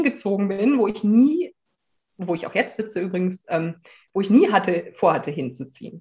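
A woman speaks at medium pitch and a moderate pace. Her voice is somewhat breathy, with lively intonation. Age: 30s. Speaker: life coach in transition to self-employment. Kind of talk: casual interview chat. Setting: in person, sitting across from host.

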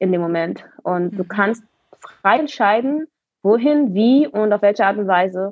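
A woman with an ordinary speaking voice speaks at a fairly slow pace, her medium pitch carried by lively intonation. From Berlin, Germany. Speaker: roller skater and dancer. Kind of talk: interview.

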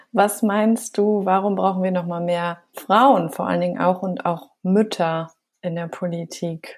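A woman speaks at a fairly slow pace in a plain, everyday voice, her pitch sitting in the medium range. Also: fairly even intonation. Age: 30s. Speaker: podcast host. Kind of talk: interview.

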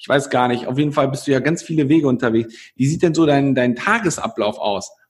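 A man talks in an ordinary speaking voice. It is fairly high in pitch, with ordinary pitch variation. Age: 20s. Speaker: podcast host. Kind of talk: interview. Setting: video call.

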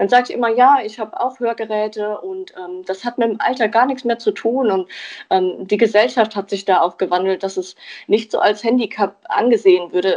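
Fairly high-pitched woman with ordinary pitch variation at a moderate pace, over a quiet background. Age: 20s. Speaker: hearing aid acoustician. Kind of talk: interview. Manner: hesitant with fillers.

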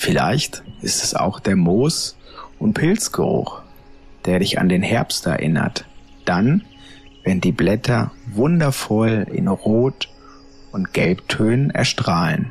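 A man with a gentle tone and a fairly low pitch speaks very slowly, with very wide pitch swings, very even loudness and long, frequent pauses, while music plays in the background. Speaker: meditation guide and psychiatric care podcast host. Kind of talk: guided meditation. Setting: podcast recording. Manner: slow, soft, soothing, calm; gentle, hypnotic, unhurried.

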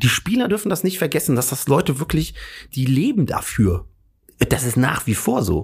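Vocal fry runs through this man's fairly high voice. He sounds animated, with very wide pitch swings. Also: moderate pace. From Hesse, Germany. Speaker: comedian. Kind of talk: casual chat.

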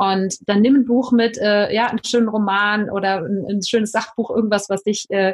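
Fairly even intonation marks an unremarkable speaking voice going at a moderate pace. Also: woman. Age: 40s. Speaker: life coach. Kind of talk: podcast interview.

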